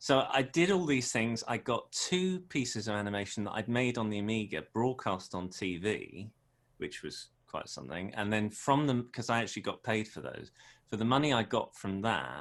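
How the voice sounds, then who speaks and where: A man with a British accent speaks at a medium pitch and moderate pace in a very clean recording with a silent background. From South London, England. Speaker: animator. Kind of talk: interview.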